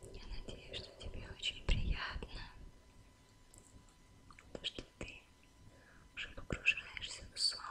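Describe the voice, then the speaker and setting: Very slowly, a woman whispers. Her delivery is soft-spoken. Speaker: ASMR creator. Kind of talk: soft relaxation talk to viewer. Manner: soft intimate ASMR whisper. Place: home room.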